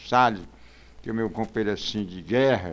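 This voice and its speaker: A man speaks very fast in a fairly low pitch. The recording is very clean, with a silent background. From Brazil, Ceará (São Gonçalo do Amarante). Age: 80s+. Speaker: community elder and local historian. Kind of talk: podcast interview.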